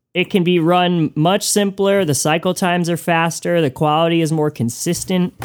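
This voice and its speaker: Over music in the background, a man with an American accent and a high pitch speaks at a moderate pace with hardly any pauses, very even loudness and fairly even intonation. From US Northeast, Connecticut. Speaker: musician and record maker. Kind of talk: casual interview.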